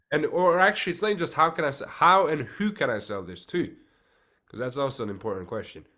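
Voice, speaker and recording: With a slight non-native accent, a man talks at a fairly quick pace in a bright, sharp, fairly high voice with vocal fry, very wide pitch swings and big swings in loudness. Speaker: podcast host, actor. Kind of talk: podcast interview.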